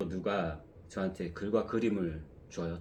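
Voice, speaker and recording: A man talks in a very deep, low pitch, with audible room echo around his voice. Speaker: one-person picture book publisher. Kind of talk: casual vlog talk.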